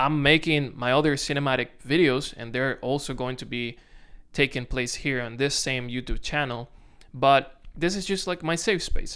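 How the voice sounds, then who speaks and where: A man with a Dominican accent speaks at a moderate pace with a fairly high pitch, ordinary pitch variation and a bright, sharp tone. The recording is very clean, with a silent background. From Dominican Republic. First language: Spanish. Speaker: content creator. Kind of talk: casual vlog to camera. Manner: halting, self-correcting.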